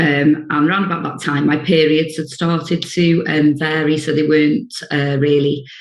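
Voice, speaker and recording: With a very deep, low pitch, a woman speaks at a moderate pace and fairly even intonation in a room with audible echo. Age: 50s. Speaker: social worker sharing lived experience. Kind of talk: personal testimony. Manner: hesitant, many fillers.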